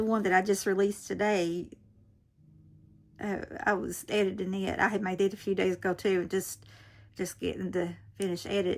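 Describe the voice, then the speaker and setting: With music in the background, a woman with an American accent speaks at a moderate pace and medium pitch, her intonation monotone and flat. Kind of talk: casual tutorial. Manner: chatty, rambling informal.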